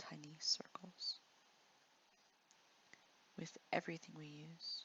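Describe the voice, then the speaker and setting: A soft-spoken woman talks at a very slow pace. Her tone is gentle. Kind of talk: ASMR art tutorial narration. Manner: soft-spoken, gentle.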